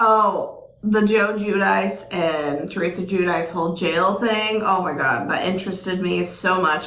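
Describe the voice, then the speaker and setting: There is audible room echo and noticeable background noise. A woman speaks at a medium pitch with ordinary pitch variation. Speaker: podcast co-host. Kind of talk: casual chat. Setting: sharing one microphone.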